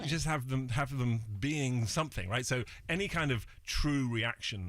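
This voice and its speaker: A man talks at a moderate pace and medium pitch with lively intonation, in a normal speaking voice. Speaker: fashion photographer and TV judge. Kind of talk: interview answer.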